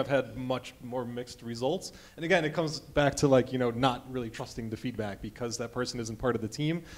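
The speaker has an American accent, a fairly quick pace and ordinary pitch variation. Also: man. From US Midwest, Chicago. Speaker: game developer; panelist. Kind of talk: conference panel discussion. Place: hall.

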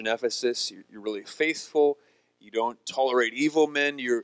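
A man's speech comes at a moderate pace, its pitch varying in an ordinary way, and the background stays quiet. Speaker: guest preacher. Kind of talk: sermon. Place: church. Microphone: handheld.

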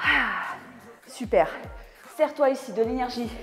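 Over faint music in the background, a woman with a high pitch speaks at a very slow pace. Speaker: fitness coach. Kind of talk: workout instruction, coaching cues. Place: gym.

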